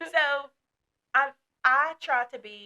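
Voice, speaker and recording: Bright and sharp, a woman's voice carries an American accent. The sound is dry and close, with no echo. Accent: Southern US accent, stronger when passionate. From northern Kentucky (Dry Ridge). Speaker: outreach counselor. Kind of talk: podcast discussion. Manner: animated, passionate.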